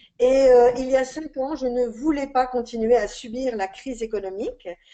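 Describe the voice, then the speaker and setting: A woman's high-pitched voice, dark and mellow in tone, with fairly even intonation at a moderate pace. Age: 60s. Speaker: independent skincare seller, former shopkeeper. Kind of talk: sales pitch webinar. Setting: online webinar. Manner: hesitant with fillers.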